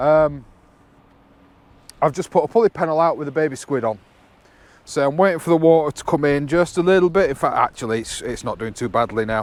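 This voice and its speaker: A loud man talks at a fairly quick pace with lively intonation. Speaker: angler vlogger. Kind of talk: casual vlog commentary. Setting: outdoors on a sea wall. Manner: halting, many fillers.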